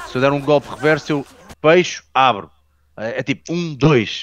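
In a European Portuguese accent, a man speaks at a fairly high pitch with ordinary pitch variation and a moderate pace. The sound is dry and close with no echo, over a quiet background. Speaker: personal trainer and film actor. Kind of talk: casual chat.

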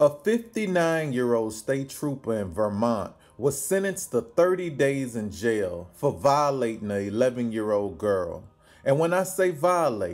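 Using lively intonation, a man talks at a fairly slow pace. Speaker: news commentator. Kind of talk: commentary. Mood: indignant, critical. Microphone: phone near.

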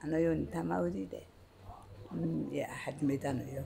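A woman's dark, mellow voice with vocal fry and very wide pitch swings, at a moderate pace over light background noise. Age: 80s+. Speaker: udon shop owner. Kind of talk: interview answer. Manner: casual, chatty.

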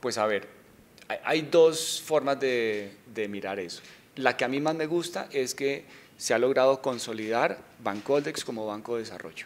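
A man speaks at a medium pitch and a fairly slow pace. His pitch varies in an ordinary way. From Colombia, Bogotá. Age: 40s. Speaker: bank executive. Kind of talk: interview. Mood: calm, positive. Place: office. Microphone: handheld.

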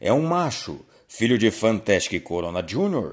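A man speaks at a medium pitch with very wide pitch swings. The recording is very clean, with a silent background. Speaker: auction announcer. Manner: formal.

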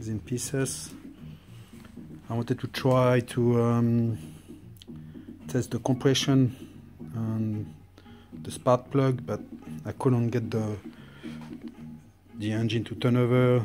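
A man with a Swiss French accent, a dark, mellow tone, ordinary pitch variation, a very slow pace, long, frequent pauses, and noticeable background noise. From French-speaking Switzerland. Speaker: motorcycle restorer. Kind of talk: casual talk to camera. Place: garage. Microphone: phone near.

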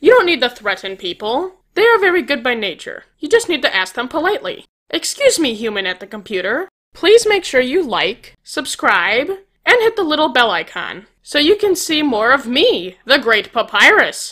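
A put-on character voice, high in pitch, with very wide pitch swings at a moderate pace. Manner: loud, pompous, excitable.

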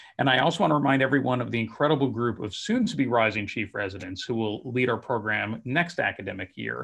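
Talking at a very fast pace with hardly any pauses, a man uses ordinary pitch variation. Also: quiet background. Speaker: residency program director. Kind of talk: formal announcement. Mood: upbeat, celebratory. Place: home room. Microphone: video call.

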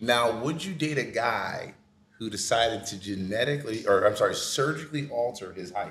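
At a moderate pace and medium pitch, a man talks in an animated tone with lively intonation and big swings in loudness, his voice carrying audible room echo. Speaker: podcast host. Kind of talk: casual chat. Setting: on location at an art fair event. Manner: animated, joking. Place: home room.

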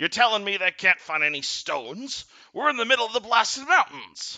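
Putting on a character voice, a man projects loudly at a high pitch and a fairly quick pace. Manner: gruff, angry, commanding.

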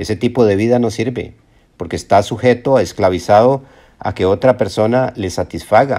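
A dark, mellow tone at a moderate pace, with ordinary pitch variation, on a very clean recording with a silent background. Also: man, fairly low pitch for a man. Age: 60s. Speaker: self-help video presenter. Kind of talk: motivational monologue. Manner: halting, with frequent repetitions.

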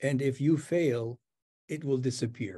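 Against a quiet background, a man with a fairly high pitch and ordinary pitch variation speaks in a somewhat breathy voice with a dark, mellow tone. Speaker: professor, interlocutor; professor. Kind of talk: interview questions. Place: home room. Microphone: webcam.

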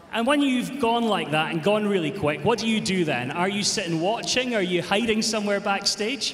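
Over noticeable background noise, a man talks at a high pitch and moderate pace with lively intonation, hardly any pauses and very even loudness. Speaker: show jumping commentator. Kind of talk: live commentary. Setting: arena with audience. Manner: animated.

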